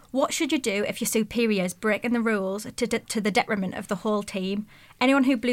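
With ordinary pitch variation, the words are read aloud in a natural voice.

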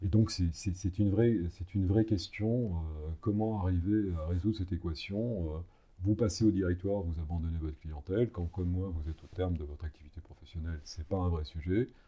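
Somewhat breathy and very deep, a man's voice moves at a fairly quick pace with ordinary pitch variation. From provincial France. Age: 60s. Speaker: lawyer. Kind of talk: interview. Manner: halting, many repetitions and fillers.

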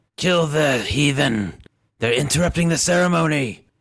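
A man shouts in a put-on character voice at a fairly high pitch. The sound is raspy. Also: moderate pace. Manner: yelling, commanding.

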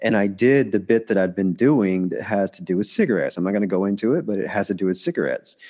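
A man with a Southern US accent talks at a very fast pace with hardly any pauses. His fairly low voice has a dark, mellow tone and ordinary pitch variation, heard against a quiet background. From Alabama, US South. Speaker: stand-up comedian. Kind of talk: casual chat. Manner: repeats words, halting.

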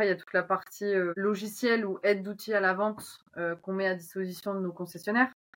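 Speaking very fast with hardly any pauses, a woman keeps her intonation fairly even. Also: medium pitch for a woman. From northern France, Oise. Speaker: agricultural machinery marketing manager. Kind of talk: casual interview.

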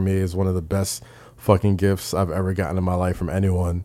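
In a New York accent, a man speaks at a fairly quick pace with a very deep, low pitch. His tone is dark and mellow, the intonation monotone and flat. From New York, Staten Island. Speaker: podcaster and wrestling writer. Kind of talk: casual interview chat. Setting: studio.

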